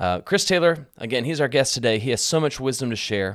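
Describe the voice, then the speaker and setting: A man with an American accent speaks at a fairly quick pace with very wide pitch swings. The recording is very clean, with a silent background. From rural Texas. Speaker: podcast host. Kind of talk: casual interview with scripted intro and outro.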